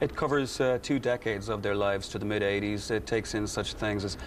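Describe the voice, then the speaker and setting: In an Irish accent, a man talks at a moderate pace with fairly low pitch and fairly even intonation. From Ireland, Kilkenny. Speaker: musical theatre actor and singer. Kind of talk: TV interview. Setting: TV studio. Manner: hesitant, many fillers.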